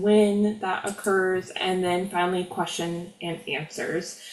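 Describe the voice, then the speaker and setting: Over noticeable background noise, a woman with an American accent and medium pitch speaks fairly slowly with fairly even intonation. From US South, Florida (Lake County). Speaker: teachers' union president. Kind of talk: presentation to members. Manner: careful enunciation.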